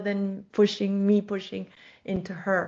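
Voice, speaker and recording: The woman's speech moves at a fairly slow pace. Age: 60s. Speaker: life coach and horse trainer. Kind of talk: podcast interview conversation.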